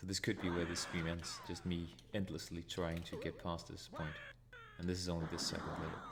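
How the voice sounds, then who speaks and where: Speaking at a fairly quick pace in a very deep, low pitch, a man with a Danish accent sounds somewhat breathy, with monotone, flat intonation and audible room echo. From Denmark. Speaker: retro gaming streamer. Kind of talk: live gameplay commentary. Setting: live stream.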